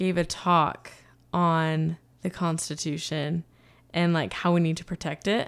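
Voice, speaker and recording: A fairly slow pace in a normal speaking voice. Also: woman. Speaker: podcast host. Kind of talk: casual chat.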